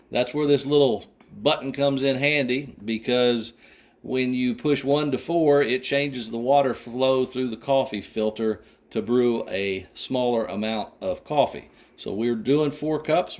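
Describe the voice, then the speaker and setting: Fairly slow pace with ordinary pitch variation. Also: man. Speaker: tutorial presenter. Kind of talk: tutorial. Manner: casual, folksy.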